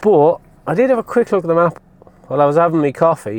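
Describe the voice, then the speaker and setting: Mumbling at a fairly quick pace, a man with an Irish accent uses lively intonation. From Ireland. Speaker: vlogger. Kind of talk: casual vlog chat. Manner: mumbly.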